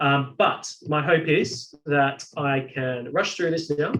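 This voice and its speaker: A fairly high, somewhat breathy male voice with ordinary pitch variation. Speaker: software instructor. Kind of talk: webinar tutorial.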